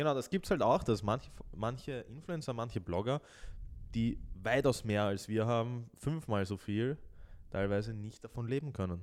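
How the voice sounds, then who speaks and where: Man at medium pitch and a moderate pace, a normal speaking voice with ordinary pitch variation. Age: 20s. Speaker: podcast co-host. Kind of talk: casual chat.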